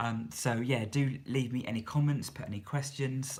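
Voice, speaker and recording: A man with a slightly breathy voice talks at a medium tempo. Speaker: YouTuber and charity leader. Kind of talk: live stream Q&A. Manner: soft-spoken; hesitant, many fillers.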